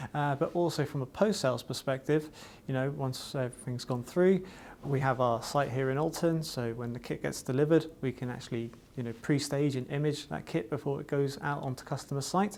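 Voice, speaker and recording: A man speaks with a Welsh accent. His pitch varies in an ordinary way. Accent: faint Welsh, hardly noticeable. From Wales, Cardiff. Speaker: IT distributor vendor manager. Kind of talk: corporate promotional talk. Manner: casual, with many fillers.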